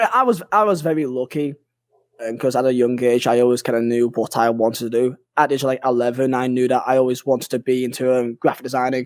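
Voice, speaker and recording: A man speaks at a very fast pace with a northern English accent. His pitch sits in the middle, and his intonation stays fairly even. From northern England (Burnley). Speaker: gaming YouTuber. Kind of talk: casual chat.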